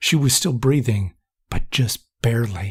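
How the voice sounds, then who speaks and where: A man puts on a character voice at a medium pitch. He talks at a moderate pace, and the sound is dry and close with no echo. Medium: read story. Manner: urgent, worried.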